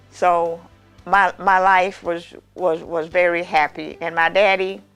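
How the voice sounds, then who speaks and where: A woman speaks very slowly at a fairly low pitch, her intonation fairly even, with music playing in the background. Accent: Southern US. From Mississippi, US South. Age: 80s+. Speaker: master baker. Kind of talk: interview answer.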